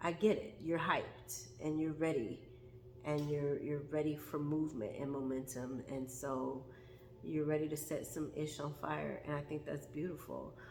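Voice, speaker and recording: Amid noticeable background noise and audible room echo, a woman with a very deep, low voice speaks at a moderate pace. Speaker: tarot reader. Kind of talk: tarot reading. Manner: animated.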